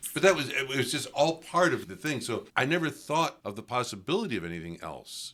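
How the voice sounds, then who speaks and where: A man with an American accent speaks at a moderate pace in a bright, sharp tone, his medium pitch swinging very widely and catching on vocal fry, in a very clean recording with a silent background. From US Northeast, western New York (Lockport). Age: 80s+. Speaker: priest. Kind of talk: interview conversation. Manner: reflective, conversational.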